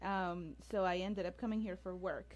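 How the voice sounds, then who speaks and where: A somewhat breathy woman's voice with a Colombian accent. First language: Spanish. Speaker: infectious disease doctor. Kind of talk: radio interview. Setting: radio studio, streamed on Facebook Live.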